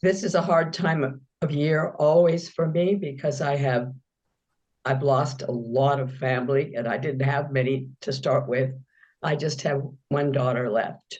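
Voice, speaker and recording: With audible room echo behind her, a woman speaks at a fairly slow pace in a very deep, low, somewhat breathy voice with ordinary pitch variation. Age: 80s+. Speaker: meditation student. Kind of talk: question in Q&A.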